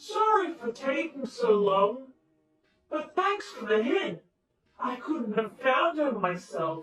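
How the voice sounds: A cartoonish character voice delivers the lines at a fairly slow pace.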